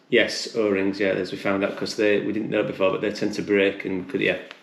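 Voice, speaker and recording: A man's fairly low-pitched voice at a very fast pace, with audible room echo. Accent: British. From UK. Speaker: hiker. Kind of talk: casual chat. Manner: halting, many repetitions.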